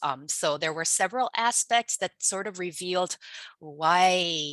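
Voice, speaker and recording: In a Korean accent, the speaker uses lively intonation at a fairly slow pace, with a bright, sharp tone, a quiet background and a dry, close sound with no echo. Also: woman. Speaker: linguistics researcher. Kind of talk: webinar presentation. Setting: online webinar. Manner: hesitant, many fillers.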